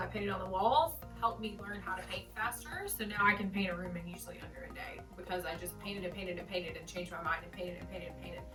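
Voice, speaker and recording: A woman's voice with music in the background. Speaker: home decorating vlogger. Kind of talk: casual talk to camera. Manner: rambling, with many filler words.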